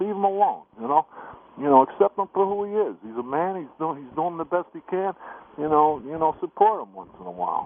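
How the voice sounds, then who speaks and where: With an American accent, a man talks at a fairly quick pace in a normal speaking voice with lively intonation. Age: 60s. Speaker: caller. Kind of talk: radio call-in.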